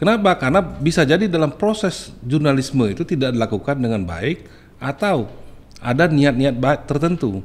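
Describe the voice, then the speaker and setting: Using vocal fry, a man talks at a moderate pace with very wide pitch swings. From Bengkulu, Indonesia; Indonesia. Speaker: journalist association candidate. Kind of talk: podcast interview. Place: studio. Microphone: studio mic.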